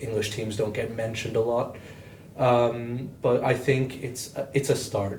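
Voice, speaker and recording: Amid noticeable background noise and audible room echo, a man of medium pitch talks at a fairly slow pace in a monotone, flat intonation. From Portugal. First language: Portuguese. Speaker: futsal club member. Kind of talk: casual podcast chat.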